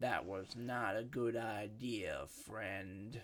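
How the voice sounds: A man's raspy, put-on character voice at medium pitch and a very slow pace.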